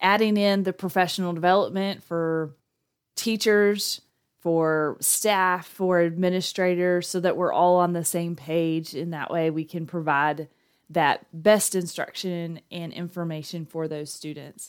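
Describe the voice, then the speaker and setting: This woman speaks with a Texan accent. Her pitch is fairly low and her intonation fairly even. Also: fairly slow pace. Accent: Texan, noticeable. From Texas. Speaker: school district testing coordinator. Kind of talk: casual interview chat.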